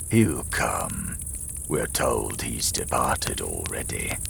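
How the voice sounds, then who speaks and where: Over loud background noise and hissing, a man puts on a croaky character voice at a very slow pace. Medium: read story. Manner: menacing.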